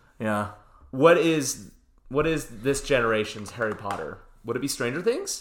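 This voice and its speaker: A man talks at a moderate pace in a normal speaking voice, with medium pitch and ordinary pitch variation. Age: 30s. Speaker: movie podcast co-host. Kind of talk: casual chat. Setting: in person recording.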